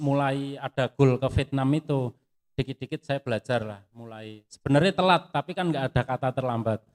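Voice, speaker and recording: A man with a strong Javanese accent speaks at a moderate pace in a fairly high voice with ordinary pitch variation. The sound is dry and close, with no echo. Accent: strong Javanese (medok) accent in English. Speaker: footwear industry pattern engineer. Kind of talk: sharing session interview.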